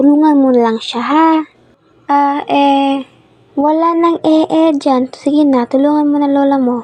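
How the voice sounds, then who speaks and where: A woman speaks at a fairly slow pace in a high pitch. Her pitch varies in an ordinary way. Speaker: amateur animator and narrator. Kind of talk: personal horror story narration with acted dialogue. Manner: inexperienced, amateur narration.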